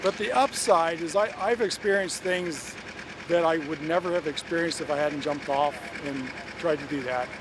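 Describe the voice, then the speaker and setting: A man with an American accent speaks at a moderate pace, his pitch high with ordinary variation. Noticeable background noise runs under his voice. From Pennsylvania, US. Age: 60s. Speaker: beekeeper. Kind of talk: interview. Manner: halting, with repeated words.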